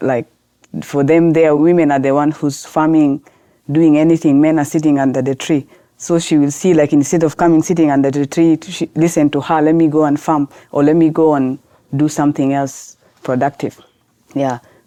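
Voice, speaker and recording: With a Sudanese accent, a woman speaks fairly quickly in a very deep, low voice, her tone dark and mellow and her intonation monotone and flat. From South Sudan, grew up in Khartoum, Sudan. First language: Arabic. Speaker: lawyer and women's rights activist. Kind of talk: podcast interview. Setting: podcast recording.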